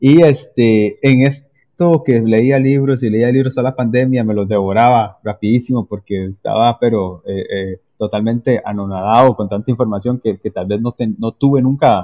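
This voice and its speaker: Speaking fairly slowly, a man uses a medium pitch with ordinary pitch variation. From Costa Rica, Limón province. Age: 30s. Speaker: civil engineer and entrepreneur. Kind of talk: interview conversation. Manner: halting, many fillers.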